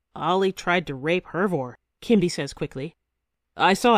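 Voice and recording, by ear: In quiet surroundings, a natural voice reads a text aloud.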